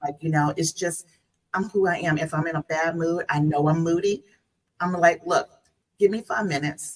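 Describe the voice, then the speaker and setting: With a Southern US accent, a woman with a fairly low pitch speaks at a moderate pace, her intonation fairly even and her speech marked by long, frequent pauses. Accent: Southern US twang. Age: 50s. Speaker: guest. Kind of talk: casual chat.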